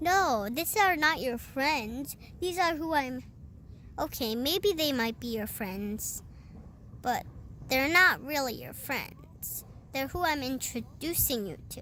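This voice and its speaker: A woman's put-on character voice, high-pitched and fairly slow, with lively intonation and clear background noise. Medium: read story.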